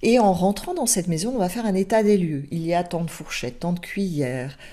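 A woman speaks with lively intonation and a dark, mellow tone at a fairly low pitch, against a quiet background. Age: 50s. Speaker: spiritual teacher. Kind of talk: spiritual teaching talk; casual teaching talk to camera. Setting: alone in front of a camera. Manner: halting, with repetitions. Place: home room. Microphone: webcam.

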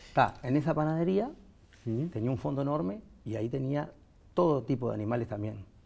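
A very fast, somewhat breathy male voice with lively intonation and long, frequent pauses. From Uruguay, Montevideo; Uruguay. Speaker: veterinary technician, baker and animal trainer; interview guest. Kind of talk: interview. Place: studio.

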